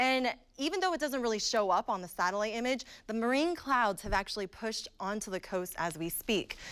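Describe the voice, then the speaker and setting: With hardly any pauses, a woman with an American accent talks in a plain, everyday voice at a fairly quick pace, a fairly high pitch and lively intonation. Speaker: TV meteorologist. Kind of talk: TV weather forecast.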